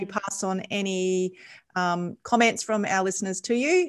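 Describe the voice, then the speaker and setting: Medium-speed delivery in an ordinary speaking voice, the intonation fairly even. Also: woman. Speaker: podcast host. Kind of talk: interview conversation.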